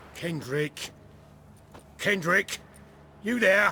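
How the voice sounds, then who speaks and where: A man puts on a character voice pitched high. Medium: video game. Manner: nervous, stammering.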